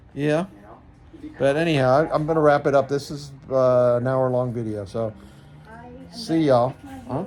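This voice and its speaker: The speech moves at a moderate pace with long, frequent pauses and ordinary pitch variation, set against noticeable background noise. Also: man, medium pitch for a man. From New York area (Pelham, Westchester). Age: 60s. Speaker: hiker vlogger. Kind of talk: casual chat.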